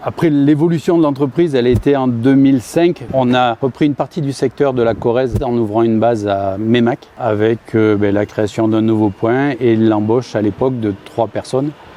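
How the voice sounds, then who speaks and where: A man's medium-pitched voice with ordinary pitch variation, very even loudness and hardly any pauses, over noticeable background noise. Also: moderate pace. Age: 60s. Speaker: farm machinery dealer executive. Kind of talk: interview. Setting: on-site at company building. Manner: halting, many hesitations.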